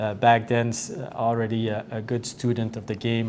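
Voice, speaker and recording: Over noticeable background noise, a man talks at a fairly slow pace with a medium pitch. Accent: French. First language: French. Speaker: hockey head coach. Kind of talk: interview. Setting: dressing room. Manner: halting, many fillers.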